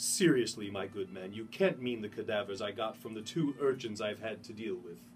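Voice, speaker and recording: Against clear background noise, a man does a put-on character voice that is resonant and medium in pitch. His pitch varies in an ordinary way, his loudness swings widely, and his pace is moderate. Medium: read story.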